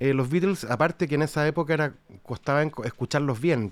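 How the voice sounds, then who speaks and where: With a normal speaking voice and ordinary pitch variation, a man talks at a fairly quick pace on a very clean recording with a silent background. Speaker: podcast host and musician. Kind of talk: casual chat.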